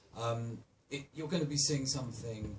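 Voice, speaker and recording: At a moderate pace, a man speaks at medium pitch with a somewhat breathy voice. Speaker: festival presenter. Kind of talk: live event introduction. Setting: cinema stage with audience.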